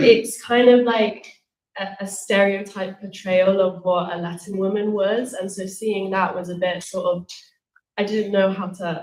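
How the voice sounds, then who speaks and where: A woman speaks with a British accent at a medium pitch. She goes fairly slowly, with big swings in loudness. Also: fairly even intonation. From England, Colombian background. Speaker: panellist, single mother. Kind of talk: panel discussion. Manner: hesitant, many fillers.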